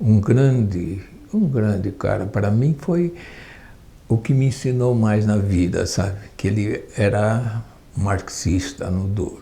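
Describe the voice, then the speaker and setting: A man's fairly low, dark and mellow voice, somewhat breathy, very slow, with ordinary pitch variation. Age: 80s+. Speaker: retired union leader and woodworker. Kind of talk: oral history testimony. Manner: halting, with repetitions.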